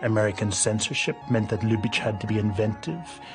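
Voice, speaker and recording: A man speaks at a fairly quick pace in a fairly low voice, with music playing in the background. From Northern Ireland. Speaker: film critic. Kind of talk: documentary narration.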